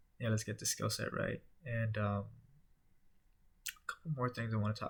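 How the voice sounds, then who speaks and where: A man is speaking. His voice is quiet. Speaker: vlogger documenting sales career. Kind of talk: casual vlog monologue. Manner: low energy, quiet; halting, many fillers.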